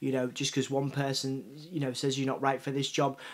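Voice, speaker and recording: A man with a Yorkshire accent talks at a very fast pace and a fairly high pitch. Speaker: journalist and magazine founder. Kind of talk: interview answer. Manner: halting, many repetitions.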